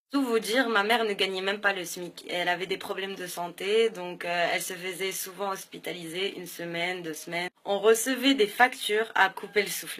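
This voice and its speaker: The woman's voice sits at medium pitch and moves at a moderate pace. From southern France (Béziers), born in Morocco. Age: 20s. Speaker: business school student. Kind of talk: personal testimony to camera. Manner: hesitant, many filler sounds.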